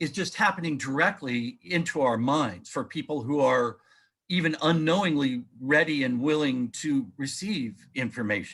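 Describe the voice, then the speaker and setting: A man's fairly high-pitched, ordinary speaking voice at a moderate pace, with ordinary pitch variation, on a very clean recording with a silent background. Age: 60s. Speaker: author and researcher. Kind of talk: interview.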